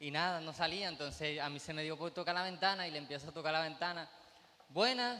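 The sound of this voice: A man's fast, bright, sharp delivery at a fairly high pitch, with ordinary pitch variation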